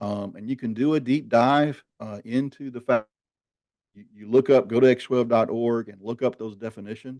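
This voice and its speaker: Over a quiet background, a man with a Southern US accent talks at a moderate pace in a medium pitch with a dark, mellow tone. His intonation is fairly even, but his loudness swings a lot. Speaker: marketing executive hosting a webinar. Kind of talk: webinar discussion.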